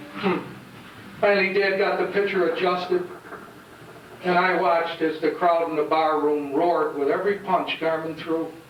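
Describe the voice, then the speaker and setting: With long, frequent pauses, a high-pitched man talks at a moderate pace and very even loudness, with audible room echo and noticeable background noise. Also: fairly even intonation. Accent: American. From upstate New York (Geneva). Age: 60s. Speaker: award presenter, former boxer. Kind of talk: award acceptance speech.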